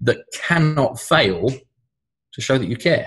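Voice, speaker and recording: A man talks in a British accent, and his voice is somewhat breathy. His pitch moves with ordinary variation. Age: 30s. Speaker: sales trainer and author. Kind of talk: podcast interview.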